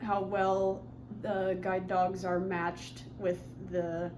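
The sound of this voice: Speaking at a very slow pace, a woman holds a fairly low pitch with little pitch movement.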